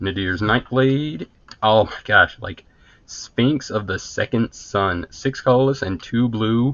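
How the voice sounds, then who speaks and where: In a normal speaking voice, this man talks at a medium pitch that varies in an ordinary way. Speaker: card game video host. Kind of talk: casual box opening commentary.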